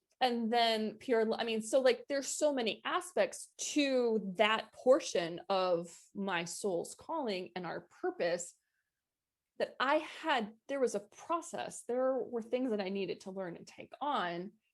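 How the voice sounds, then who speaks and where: Her pitch fairly high and swinging very widely, a woman speaks at a fairly slow pace with big swings in loudness. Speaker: spiritual coach. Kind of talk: interview. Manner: repetitive, halting.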